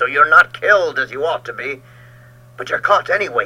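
A man's put-on character voice, growling, raised and projected, at a fairly quick pace. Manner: snarling, mocking.

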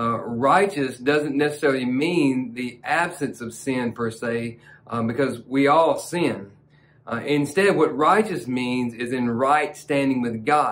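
With a Southern US accent, a man talks at a fairly slow pace with ordinary pitch variation. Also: medium pitch for a man. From US South. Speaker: pastor. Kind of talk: devotional sermon. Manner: fervent, passionate preaching; warm, conversational. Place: studio.

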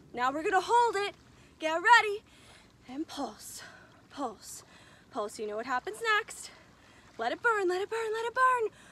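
This woman's voice is pitched extremely high. She talks at a moderate pace, and the sound is dry with no echo. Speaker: fitness instructor. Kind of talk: workout instruction. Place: beach.

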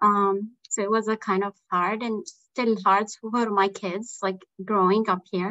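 Speaking at a very slow pace, a woman holds a medium pitch with monotone, flat intonation. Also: quiet background. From Palestine. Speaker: assistant professor. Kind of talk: panel discussion. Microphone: video call.

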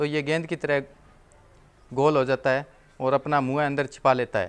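The man speaks at a fairly slow pace. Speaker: vlogger. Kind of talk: casual vlog chat. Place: street. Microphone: phone near.

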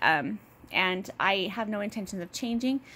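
Using vocal fry, a woman speaks at a fairly high pitch with ordinary pitch variation. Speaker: budgeting vlogger. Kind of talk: casual talk to camera. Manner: fast, rambling. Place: home room. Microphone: phone near.

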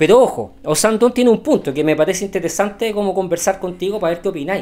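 A man's high voice in a Chilean accent, very fast in pace, with ordinary pitch variation. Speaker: podcast co-host. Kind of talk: casual political chat.

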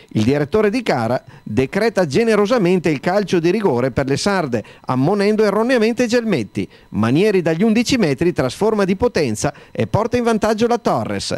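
A man's high, energetic voice at a fairly quick pace, very wide pitch swings but very even loudness, in a dry, close sound with no echo. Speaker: sports commentator. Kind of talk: sports commentary, match report voiceover. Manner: fast, brisk and energetic; crisp, formal, narrating in a steady flow.

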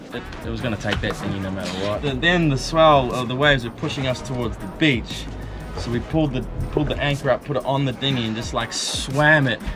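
Clear music plays behind a man talking at a very fast pace. His pitch varies in an ordinary way. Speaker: sailing vlogger. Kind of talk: casual vlog storytelling. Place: boat. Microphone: phone near.

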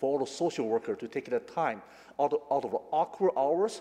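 A man's dark, mellow voice at a very fast pace. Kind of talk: formal prepared statement. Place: hall.

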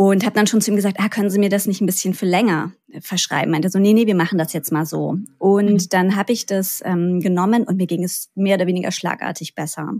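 Hers is an unremarkable speaking voice at a medium pitch for a woman. She talks at a fairly quick pace with ordinary pitch variation. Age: 30s. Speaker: health expert sharing own patient story. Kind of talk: interview.

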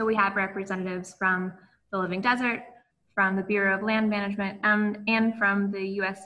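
A woman at a moderate pace with monotone, flat intonation over noticeable background noise. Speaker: event host. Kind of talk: webinar host introduction. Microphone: video call.

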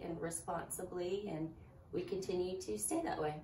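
A woman at a moderate pace, with audible room echo and light background noise. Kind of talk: interview answer. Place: shop.

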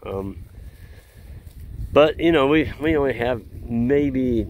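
Recorded with a dry sound and no echo, a man speaks over light background noise. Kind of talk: casual vlog chat. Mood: relaxed, opinionated. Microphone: phone near.

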